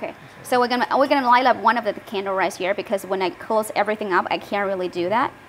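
Over light background noise, a woman talks very fast in an animated, cheerful tone with lively intonation. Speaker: livestream host demonstrating laser products. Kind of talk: livestream product demo and sales pitch. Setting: online livestream. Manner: animated, cheerful, laughs often. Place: workshop. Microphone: lapel.

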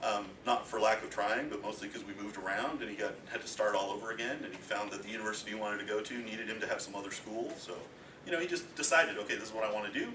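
Speech at a very fast pace shows ordinary pitch variation, with noticeable background noise behind it. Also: man, fairly low pitch for a man. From Eastern Ontario, Canada. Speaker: homeschooling parent giving a talk. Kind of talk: informal talk to a group. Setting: presentation with audience.

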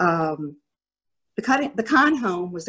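A woman with an American accent, against a quiet background. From US South. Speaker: former organization president. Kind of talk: panel discussion. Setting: video call. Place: home room. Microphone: webcam.

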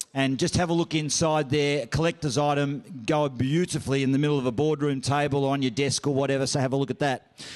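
In an Australian accent, a man talks very fast with hardly any pauses, fairly even intonation and very even loudness over a quiet background. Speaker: auctioneer and master of ceremonies. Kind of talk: event MC announcements. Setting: function room PA. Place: hall. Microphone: handheld.

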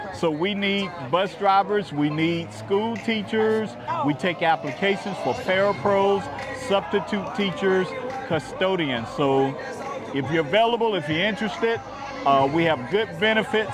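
Clear music sits in the background as a man speaks at a fairly slow pace, his voice dry with no echo. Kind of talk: interview answer. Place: street. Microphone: lapel.

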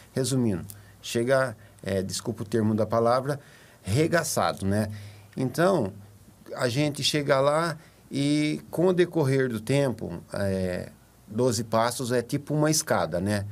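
A man's medium-pitched voice with lively intonation, a fairly slow pace and long, frequent pauses. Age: 50s. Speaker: recovering addict, support group member. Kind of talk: testimony. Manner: halting, many fillers. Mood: earnest, reflective. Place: studio. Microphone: studio mic.

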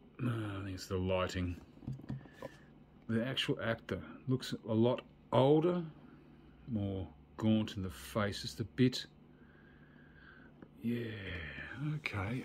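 A man's voice comes out somewhat breathy at a fairly slow pace, broken by long, frequent pauses. Light background noise is present. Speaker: toy collector reviewer. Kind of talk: casual toy review commentary. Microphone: phone near.

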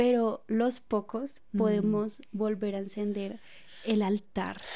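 A woman's dark, mellow voice at a very slow pace with fairly even intonation. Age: 20s. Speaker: podcast host. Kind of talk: casual chat. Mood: warm, reflective. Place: studio. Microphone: studio mic.

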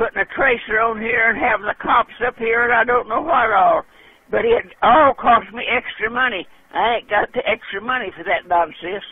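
A man speaks at an extremely high pitch. His pitch varies in an ordinary way. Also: moderate pace. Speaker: caller. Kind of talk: phone conversation, complaint. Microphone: phone line.

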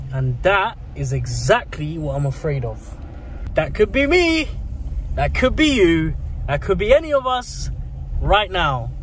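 Long, frequent pauses break up the fairly slow speech, recorded dry with no echo over light background noise. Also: man. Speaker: vlogger. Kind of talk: casual vlog chat. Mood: amazed, a bit nervous. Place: car.

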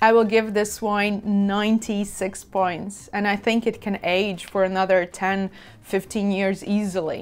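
A woman at a very slow pace in a monotone, flat intonation. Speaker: wine reviewer. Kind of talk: casual tasting commentary. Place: home room. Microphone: lapel.

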